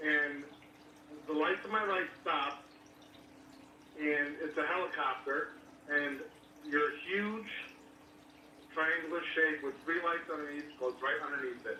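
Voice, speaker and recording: In a room with audible echo and noticeable background noise, a man with a fairly high pitch and ordinary pitch variation speaks with long, frequent pauses. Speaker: caller. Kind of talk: phone-in call. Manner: fast.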